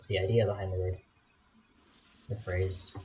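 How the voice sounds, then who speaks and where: A man is speaking. His voice sounds somewhat breathy. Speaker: gaming YouTuber. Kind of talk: gameplay commentary. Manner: fast; casual, rambling with fillers.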